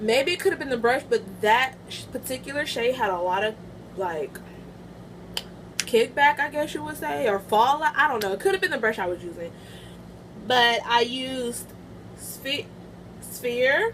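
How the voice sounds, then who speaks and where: A woman speaks at a moderate pace with long, frequent pauses. Her high pitch swings very widely, and noticeable background noise is present. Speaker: beauty vlogger. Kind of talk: product review vlog. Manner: loud; casual, halting.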